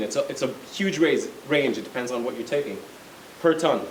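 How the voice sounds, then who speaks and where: A man talks at a very fast pace with lively intonation. Noticeable background noise and audible room echo fill the recording. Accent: non-native. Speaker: lawyer and space company executive. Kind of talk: lecture. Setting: college lecture with audience.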